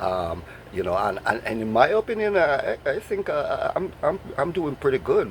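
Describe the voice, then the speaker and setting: A man with a Jamaican accent at a moderate pace, over noticeable background noise. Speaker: vlogger. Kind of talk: casual vlog monologue. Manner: repetitive stammering fillers.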